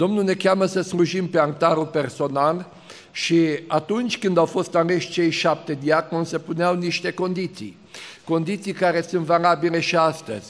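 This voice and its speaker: A man talks at a moderate pace with a high voice. His intonation stays fairly even. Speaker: preacher at an ordination service. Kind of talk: sermon. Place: hall. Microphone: podium.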